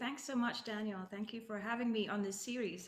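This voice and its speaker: A woman talks at a medium pitch, her voice carrying audible room echo. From Scotland, Ayrshire west coast. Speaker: orchestral flutist. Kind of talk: interview.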